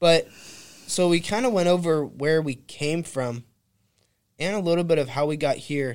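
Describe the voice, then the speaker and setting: Long, frequent pauses break up the moderate pace of a man with an American accent, a fairly high pitch and ordinary pitch variation. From California. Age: 20s. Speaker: realtor. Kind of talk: casual chat. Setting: studio.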